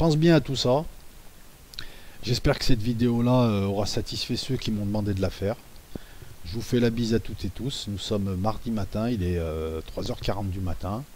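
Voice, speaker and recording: Fairly low male voice at a moderate pace, with ordinary pitch variation and long, frequent pauses. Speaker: YouTuber discussing conspiracy theories. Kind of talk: monologue video commentary. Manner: soft-spoken; halting.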